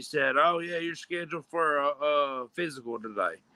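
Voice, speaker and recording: A loud man's voice has a bright, sharp tone and ordinary pitch variation. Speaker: streamer. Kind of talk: casual chat. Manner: animated.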